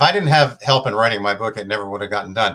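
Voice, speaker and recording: A man's medium-pitched, bright, sharp voice at a very fast pace with ordinary pitch variation, in a very clean recording against a silent background. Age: 60s. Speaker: author and minister. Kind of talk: casual interview chat.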